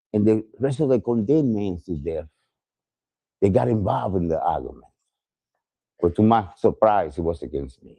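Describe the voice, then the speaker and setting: A man's fairly low voice with a Spanish accent, dark and mellow in tone, very wide pitch swings, big swings in loudness, a moderate pace and long, frequent pauses. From Puerto Rico. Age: 70s. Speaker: exonerated death row survivor. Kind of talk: testimony. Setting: outdoors at a rally.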